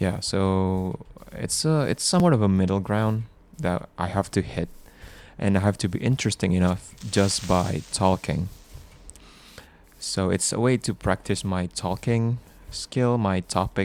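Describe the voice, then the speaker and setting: A man with a non-native accent speaks in a relaxed tone at a fairly slow pace. His pitch is fairly low with ordinary variation, broken by long, frequent pauses. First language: not English. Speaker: gaming sleep video creator. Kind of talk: casual gameplay commentary for sleep. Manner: slow, relaxed; halting.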